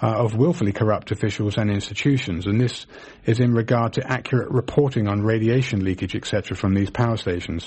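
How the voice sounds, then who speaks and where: Somewhat breathy, a man with an English accent talks at a fairly quick pace, at medium pitch with ordinary pitch variation. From England. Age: 50s. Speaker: radio host, naturopathic doctor. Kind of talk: radio call-in show.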